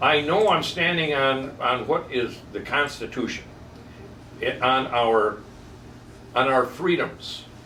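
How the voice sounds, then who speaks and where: A medium-pitched man speaks very slowly, with long, frequent pauses and ordinary pitch variation. Noticeable background noise and audible room echo fill the recording. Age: 70s. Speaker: barber. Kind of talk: casual chat. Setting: barber shop. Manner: animated.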